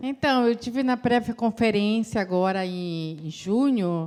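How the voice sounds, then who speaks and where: This is a woman with an ordinary speaking voice. She talks at a fairly slow pace with ordinary pitch variation. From Brazil, Belém do Pará. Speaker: climate commission member. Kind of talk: impromptu public meeting speech.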